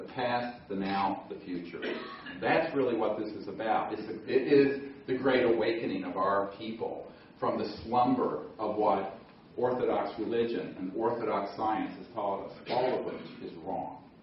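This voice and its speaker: Over noticeable background noise and audible room echo, the speaker uses an American accent at a moderate pace with ordinary pitch variation. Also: man. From US South. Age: 60s. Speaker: emergency doctor and speaker. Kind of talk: conference talk. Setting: stage with audience.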